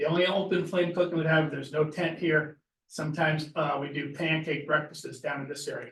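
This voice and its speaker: A man with an unremarkable speaking voice, fairly high pitch, and a moderate pace. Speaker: property owner applying to planning board. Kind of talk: public meeting discussion. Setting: town planning board meeting.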